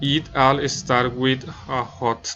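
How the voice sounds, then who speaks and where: Against noticeable background noise, a man of medium pitch talks with a Spanish accent. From Colombia, Bogotá. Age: 20s. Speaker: student and nursing assistant. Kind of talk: class presentation, reading prepared text. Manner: halting, non-fluent English.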